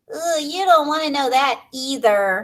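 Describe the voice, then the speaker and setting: A squeaky, put-on character voice, female-sounding and high-pitched, at a moderate pace. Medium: read story. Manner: eager, cheerful.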